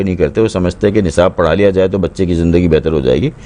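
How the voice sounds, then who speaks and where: A man's voice over noticeable background noise. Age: 60s. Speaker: drama and children's story writer. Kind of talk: interview.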